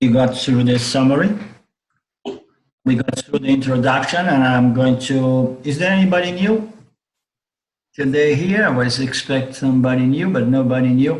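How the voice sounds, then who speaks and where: Amid audible room echo, a man speaks at a moderate pace in a somewhat breathy, medium-pitched voice with ordinary pitch variation and very even loudness. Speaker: spiritual teacher. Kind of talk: lecture. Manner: halting.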